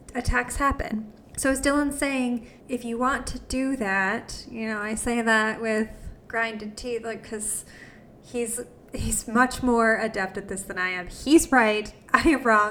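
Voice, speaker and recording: Her fairly high-pitched, unremarkable speaking voice moves at a fairly slow pace with fairly even intonation. The woman's loudness swings widely. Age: 30s. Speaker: podcast host. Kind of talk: interview; scripted narration.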